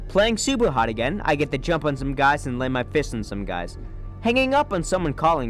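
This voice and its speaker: There is music in the background. Over it, a man is speaking. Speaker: gaming YouTuber. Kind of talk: comedic gameplay commentary narration.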